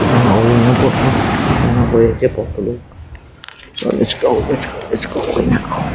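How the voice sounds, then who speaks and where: A man speaks softly at a moderate pace. Noticeable background noise and audible room echo surround his voice. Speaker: vlogger. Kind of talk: vlog narration. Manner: soft-spoken.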